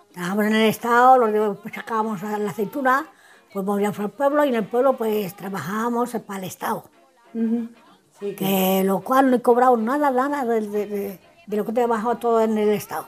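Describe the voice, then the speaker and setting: Over music in the background, a woman talks at a fairly high pitch with ordinary variation. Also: moderate pace. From Spain, El Payo (Salamanca). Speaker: elderly resident. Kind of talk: recorded life-story interview. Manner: halting, repetitive.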